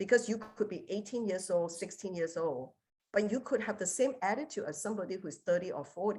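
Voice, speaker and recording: Somewhat breathy, a woman of medium pitch talks at a fairly quick pace with lively intonation on a very clean recording with a silent background. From Singapore. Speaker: business executive. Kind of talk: conference talk.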